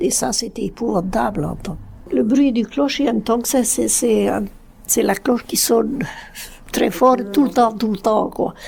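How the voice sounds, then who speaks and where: Fairly slow and fairly high-pitched, a woman speaks with vocal fry. Her pitch varies in an ordinary way. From Brittany, Finistère. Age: 80s+. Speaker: elderly farmer recalling childhood. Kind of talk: oral history testimony.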